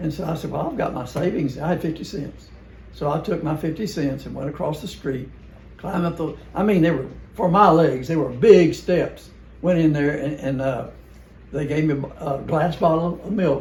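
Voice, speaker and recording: Audible room echo surrounds a man who speaks with a Southern US accent, a fairly high pitch and ordinary pitch variation at a moderate pace. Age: 80s+. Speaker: family member reminiscing. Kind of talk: casual chat. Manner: halting.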